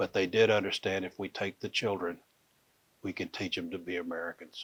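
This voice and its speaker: A man's fairly low, Texan-accented voice at a moderate pace, dry and close with no echo, in a very clean recording with a silent background. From Fort Worth, Texas. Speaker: Comanche storyteller. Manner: relaxed, conversational.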